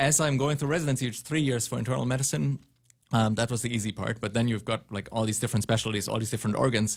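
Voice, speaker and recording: A man talks at a very fast pace and a medium pitch, somewhat breathy, with ordinary pitch variation. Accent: German. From southern Germany. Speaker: pulmonologist. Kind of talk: radio interview. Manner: reserved, not talkative.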